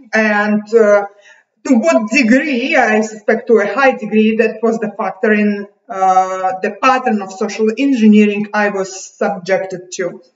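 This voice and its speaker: Against a quiet background with audible room echo, a woman speaks at a fairly slow pace. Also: ordinary pitch variation. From Uzbekistan, USSR. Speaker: video blogger. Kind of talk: monologue rant to camera. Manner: agitated, bitter, hesitant with fillers. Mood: aggrieved, intense. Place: home room. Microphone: webcam.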